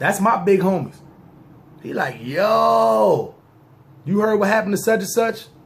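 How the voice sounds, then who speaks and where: Amid audible room echo, a man with an American accent and a high pitch speaks at a fairly slow pace with lively intonation and long, frequent pauses. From New York, Brooklyn. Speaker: storyteller, former gang member. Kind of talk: storytelling monologue. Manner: casual street slang.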